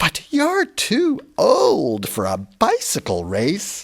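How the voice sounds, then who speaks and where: In a put-on character voice, a man talks at a very slow pace. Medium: read story.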